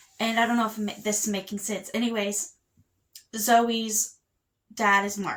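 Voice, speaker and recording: At a fairly slow pace with long, frequent pauses, a woman speaks in a fairly high pitch with monotone, flat intonation. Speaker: book vlogger. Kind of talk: casual chat. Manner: halting.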